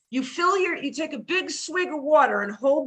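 A woman's raised, projected voice with an American accent, ordinary pitch variation and a moderate pace. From Brooklyn and Connecticut.

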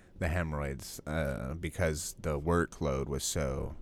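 With vocal fry and a very deep, low pitch, a man speaks in fairly even intonation on a very clean recording with a silent background. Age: 20s. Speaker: podcast co-host. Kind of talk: casual chat.

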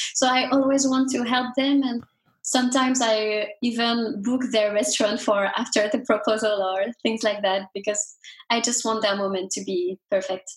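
A woman with a French accent speaks at a fairly high pitch, keeping a moderate pace and fairly even intonation. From France. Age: 20s. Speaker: singer and entrepreneur. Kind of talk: interview.

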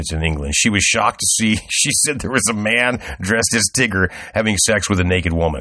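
A man's fairly low, unremarkable speaking voice at a fairly quick pace, lively intonation, and a quiet background. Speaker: podcast host. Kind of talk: casual chat.

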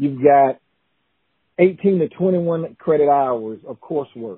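Here is a man with a South Carolina accent. His voice sits fairly high, with ordinary pitch variation. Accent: Southern US (South Carolina). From US South, South Carolina (Newberry). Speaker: college educator, former college basketball player. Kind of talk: casual interview. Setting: call.

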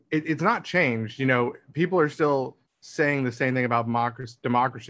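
This man's voice sits at a medium pitch. It has a bright, sharp tone. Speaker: podcast co-host. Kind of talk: casual podcast discussion.

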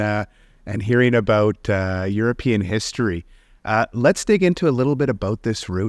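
In a very clean recording with a silent background and a dry, close sound with no echo, a man with an unremarkable speaking voice and medium pitch talks at a moderate pace with lively intonation. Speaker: podcast host and company founder. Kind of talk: casual interview.

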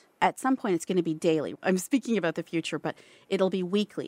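A woman with an unremarkable speaking voice at medium pitch, in a dry, close sound with no echo. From Toronto, Canada. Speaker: fashion entrepreneur. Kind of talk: interview. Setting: studio.

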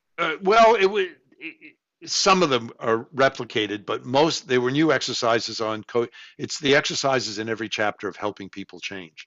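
A man with an American accent has a normal speaking voice, medium pitch, lively intonation and big swings in loudness at a moderate pace. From New York City (Queens). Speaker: professor and researcher. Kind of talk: interview.

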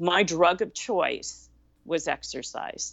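A woman talks at a very slow pace, her voice dropping into vocal fry. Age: 60s. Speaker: wellness expert and podcast host. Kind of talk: casual chat.

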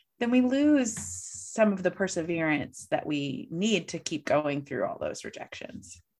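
Vocal fry colors speech in an American accent, with very wide pitch swings. There are hardly any pauses. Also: woman, medium pitch for a woman. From US Midwest, St. Louis. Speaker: coach and keynote speaker. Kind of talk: casual interview.

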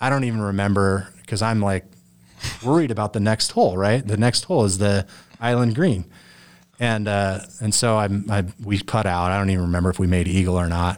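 A man with an American accent has a plain, everyday voice, fairly low in pitch with ordinary pitch variation and very even loudness. He talks at a fairly quick pace in a very clean recording with a silent background. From southern Idaho, US. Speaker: golfer. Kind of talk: interview. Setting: studio.

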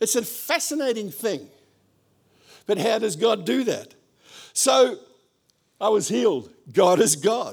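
With an Australian accent, a man speaks at a fairly slow pace in a high voice, leaving long, frequent pauses. His pitch swings very widely. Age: 70s. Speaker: pastor. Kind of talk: sermon. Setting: church.

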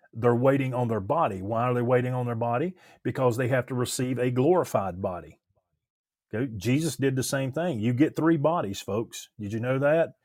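Speaking with an unremarkable speaking voice, a man keeps a mid-range pitch, ordinary pitch variation and a moderate tempo. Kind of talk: religious discussion. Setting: video call.

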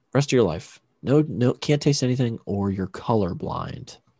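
A man talks at a fairly slow pace with lively intonation, in a plain, everyday voice at medium pitch. The sound is dry and close with no echo, over a quiet background. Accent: American. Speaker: podcast host. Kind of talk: casual chat. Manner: rambling, joking.

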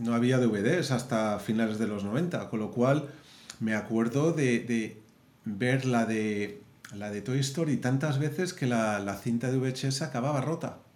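Through audible room echo, a man speaks fairly slowly at a medium pitch. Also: ordinary pitch variation. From Madrid, Spain. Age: 40s. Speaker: film animator and director. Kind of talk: interview.

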